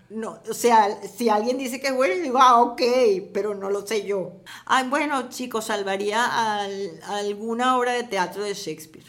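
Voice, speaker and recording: Over audible room echo, a woman talks at a fairly slow pace with ordinary pitch variation. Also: fairly high pitch for a woman. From Venezuela, Caracas. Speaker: screenwriter and novelist. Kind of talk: interview. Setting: at her home.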